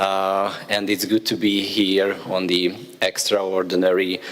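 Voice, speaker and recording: Over noticeable background noise, a man speaks with a Hungarian accent in a very deep, low pitch. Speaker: government official. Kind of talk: formal speech.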